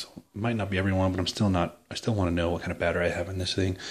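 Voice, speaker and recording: A man speaks quietly at a very fast pace, with a very deep, low pitch. His intonation is monotone and flat. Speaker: parent doing a product how-to. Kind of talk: casual tutorial. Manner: quiet, keeping voice down; hesitant, many fillers.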